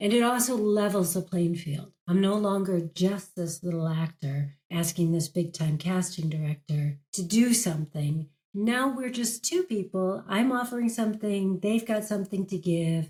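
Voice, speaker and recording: A somewhat breathy voice with a dark, mellow tone speaks in an American accent. It has ordinary pitch variation and hardly any pauses. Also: woman, medium pitch for a woman, moderate pace. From United States. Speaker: actress and career coach. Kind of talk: interview.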